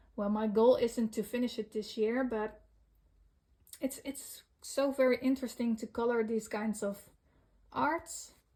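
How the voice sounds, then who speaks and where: Somewhat breathy and fairly high in pitch, a woman with a Dutch accent speaks at a fairly slow pace with ordinary pitch variation. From Netherlands. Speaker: coloring hobby vlogger. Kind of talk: casual show-and-tell vlog. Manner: halting, many fillers.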